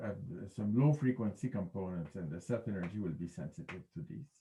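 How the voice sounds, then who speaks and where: Somewhat breathy and dark, mellow in tone, a man speaks at a medium pitch and fairly quick pace with very wide pitch swings. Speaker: physics professor. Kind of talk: lecture. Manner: halting.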